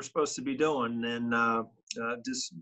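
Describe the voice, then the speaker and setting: This man's tone is bright and sharp, with fairly even intonation at a moderate pace. The background is quiet. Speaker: remote guest. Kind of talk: interview answer. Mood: relaxed, joking. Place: home room.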